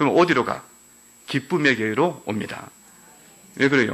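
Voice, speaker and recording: Ordinary pitch variation and vocal fry in a man's speech. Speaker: pastor. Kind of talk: sermon. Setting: church. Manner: animated.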